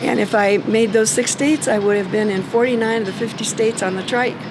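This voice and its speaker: A woman speaks at a moderate pace with a fairly high pitch and fairly even intonation over noticeable background noise. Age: 70s. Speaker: motorcycle rider. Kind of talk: interview answer.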